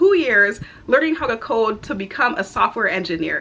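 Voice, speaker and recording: In an upbeat, bright and sharp tone, a woman with a slight Barbadian accent speaks at a moderate pace. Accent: slight Barbadian (Bajan). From Houston, Texas, to Barbadian parents. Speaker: content creator, aspiring software engineer. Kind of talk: casual vlog introduction. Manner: chatty, upbeat.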